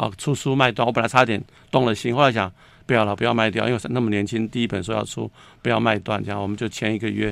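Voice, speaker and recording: In a very clean recording with a silent background, a man speaks at a very fast pace with vocal fry and fairly even intonation. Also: medium pitch for a man. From Taiwan, Taipei. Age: 60s. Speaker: writer and screenwriter. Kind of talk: casual interview.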